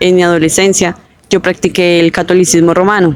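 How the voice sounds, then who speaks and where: A woman with a medium pitch speaks in a monotone, flat intonation over noticeable background noise. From Colombia, Bogotá. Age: 20s. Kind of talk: testimony. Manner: casual with fillers (eh, em).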